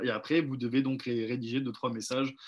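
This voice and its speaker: The background is quiet as a man speaks at a fairly quick pace. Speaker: sales trainer. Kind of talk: online training session. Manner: fast; hesitant with fillers.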